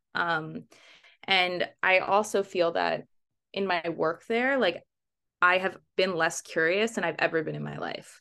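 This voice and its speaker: With an American accent, a woman of medium pitch talks fairly slowly in a bright, sharp tone with vocal fry, ordinary pitch variation and long, frequent pauses. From US East Coast, Baltimore. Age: 30s. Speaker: documentary photographer. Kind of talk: interview. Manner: hesitant, many fillers.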